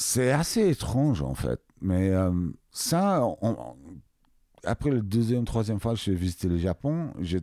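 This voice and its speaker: A man speaks very slowly in a fairly low pitch with a dark, mellow tone. His pitch swings very widely while his loudness stays very even. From England. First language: English (speaking French). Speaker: music producer and label owner. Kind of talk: interview. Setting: recording studio. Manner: halting, many hesitations.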